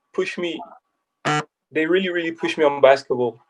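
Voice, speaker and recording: A man speaks with a French accent. His pitch is high. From France, Paris. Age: 20s. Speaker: basketball player turned agent. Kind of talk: casual interview. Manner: halting.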